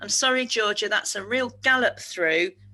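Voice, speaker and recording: A woman's bright, sharp voice with vocal fry, lively intonation and a fairly quick pace. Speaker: speaker on neurodiversity at work. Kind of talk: webinar presentation. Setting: webinar. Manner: fast.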